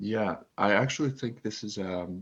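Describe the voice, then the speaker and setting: A man with an ordinary speaking voice, fairly low in pitch, in a Canadian accent with ordinary pitch variation. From Canada. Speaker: author. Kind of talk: podcast interview.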